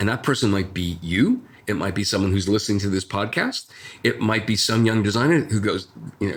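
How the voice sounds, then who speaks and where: A man with an American accent talks at a fairly quick pace, his pitch fairly low with ordinary variation. His voice is somewhat breathy. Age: 60s. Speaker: designer. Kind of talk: interview. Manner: halting.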